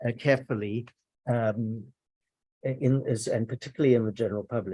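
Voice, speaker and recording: The voice is somewhat breathy, with a dark, mellow tone. It moves at a fairly quick pace with fairly even intonation. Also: man, medium pitch for a man. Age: 60s. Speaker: journalism professor and author. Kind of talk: conference talk. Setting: academic conference with audience. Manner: halting, many repetitions and fillers.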